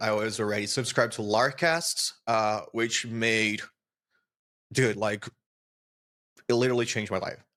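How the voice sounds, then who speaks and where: With a Portuguese accent, a man at a medium pitch speaks at a moderate pace in a bright, sharp tone, captured in a very clean recording with a silent background. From Brazil. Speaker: software developer. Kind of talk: interview.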